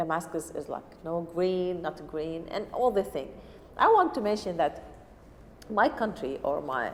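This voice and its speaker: A woman with an Arabic accent speaks at a fairly slow pace in a fairly low pitch. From Syria. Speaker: refugee cooking teacher. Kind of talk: personal testimony interview. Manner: halting non-native speech.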